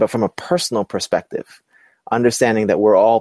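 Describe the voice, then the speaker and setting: A man with an American accent has a dark, mellow tone at medium pitch, captured in a dry, close sound with no echo on a very clean recording with a silent background. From Brooklyn, New York. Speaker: entrepreneur and inclusive leadership specialist. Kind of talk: interview. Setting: webcast.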